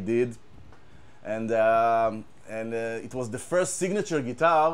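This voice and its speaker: A man with an Israeli accent speaks with lively intonation. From Israel, kibbutz. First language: Hebrew. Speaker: guitar tech. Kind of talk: casual gear demo. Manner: halting, many repetitions.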